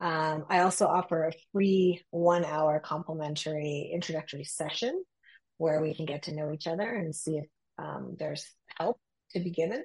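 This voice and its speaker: At a moderate pace, a woman speaks with a fairly low pitch, a somewhat breathy sound and fairly even intonation. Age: 50s. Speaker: executive coach. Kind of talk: interview conversation.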